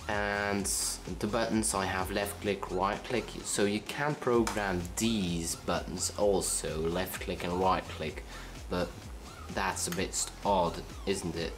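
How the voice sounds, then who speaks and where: A man's very deep, low voice with a Dutch accent, very slow and with lively intonation, amid audible room echo and noticeable background noise. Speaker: tech reviewer. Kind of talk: product review. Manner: halting.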